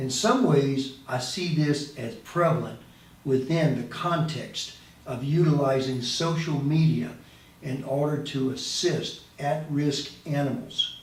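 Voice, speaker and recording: A man speaking at a very slow pace, fairly high in pitch with ordinary pitch variation, over noticeable background noise. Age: 70s. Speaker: animal advocacy video host. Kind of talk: casual talk to camera. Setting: studio with boom mic.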